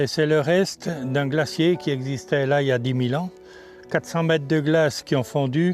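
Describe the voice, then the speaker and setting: The speech has ordinary pitch variation and a moderate pace, with music in the background. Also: man. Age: 70s. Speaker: local guide. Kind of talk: informal explanation on location.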